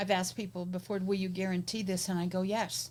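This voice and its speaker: This woman's voice is somewhat breathy, sitting at a medium pitch and moving at a fairly quick pace. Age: 70s. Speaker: business coach and podcast host. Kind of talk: casual interview chat.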